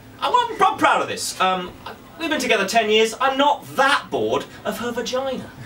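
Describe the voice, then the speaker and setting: Raising and projecting his voice, a man with an English accent speaks at a moderate pace in an extremely high pitch, lively in intonation, over light background noise. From England. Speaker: stand-up comedian. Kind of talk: stand-up comedy set, crude self-deprecating bits about his marriage and body. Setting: stage with live audience. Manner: dry, mock-confessional delivery with stammered restarts; playful crowd-baiting asides. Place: stage.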